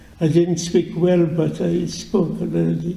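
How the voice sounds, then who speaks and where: A man talks at a very slow pace and a high pitch, with audible room echo. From Poland. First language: Yiddish. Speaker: Holocaust survivor. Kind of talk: testimony. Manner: halting, many repetitions.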